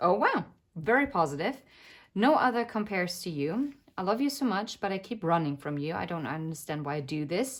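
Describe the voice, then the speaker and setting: A woman with a non-native accent speaks with very wide swings in pitch. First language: not English. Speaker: tarot reader. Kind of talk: tarot reading. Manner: hesitant, many filler words.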